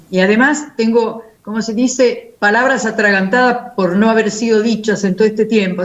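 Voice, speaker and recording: Fairly even intonation runs through talking at a moderate pace. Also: woman. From Italy. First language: Italian (speaking Spanish). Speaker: philosophy professor. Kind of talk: panel discussion.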